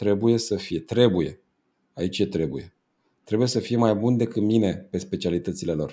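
In a very clean recording with a silent background, a man with a fairly low pitch and a dark, mellow tone speaks with lively intonation. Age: 40s. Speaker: business coach. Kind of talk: interview.

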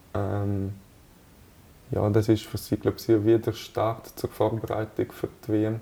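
Very slowly, with long, frequent pauses, a man speaks in a fairly low, dark, mellow, somewhat breathy voice with monotone, flat intonation. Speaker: national team footballer. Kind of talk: interview. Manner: hesitant, many fillers.

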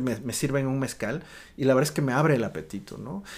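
Ordinary pitch variation in a man's voice of medium pitch. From Oaxaca, Mexico. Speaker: restaurant owner and writer. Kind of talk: casual interview. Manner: halting, many fillers and repetitions.

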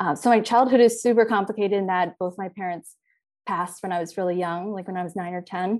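In an American accent, a woman with a normal speaking voice talks at medium pitch with fairly even intonation against a quiet background. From US, Philadelphia and Virginia. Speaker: dietitian. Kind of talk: interview, personal story.

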